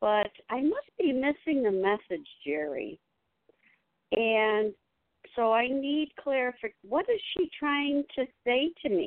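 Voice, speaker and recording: Delivered at a very slow pace, the voice has very wide pitch swings while its loudness stays very even. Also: woman, high pitch for a woman. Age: 60s. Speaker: caller. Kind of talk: call-in question.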